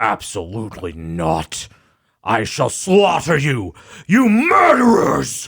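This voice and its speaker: A man's put-on character voice, rumbling and growling at medium pitch and a fairly slow pace. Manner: furious, vengeful.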